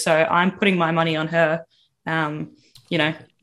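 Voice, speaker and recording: A woman talks at a moderate pace in a fairly low pitch with an Australian accent. The background is quiet. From Victoria, Australia. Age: 20s. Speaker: podcast panelist. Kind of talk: casual chat.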